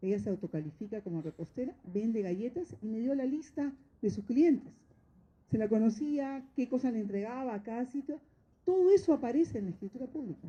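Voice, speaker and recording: Her voice high-pitched with a dark, mellow tone, a woman makes very wide pitch swings. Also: fairly quick pace. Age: 60s. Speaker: notary. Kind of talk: course lecture talk. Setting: training course with audience of judges.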